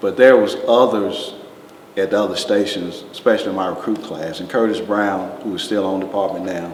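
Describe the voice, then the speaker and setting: A man with fairly low pitch, at a fairly quick pace, amid noticeable background noise and audible room echo. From US South, Greensboro, North Carolina. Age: 60s. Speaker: retired fire chief. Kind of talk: oral history interview. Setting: museum.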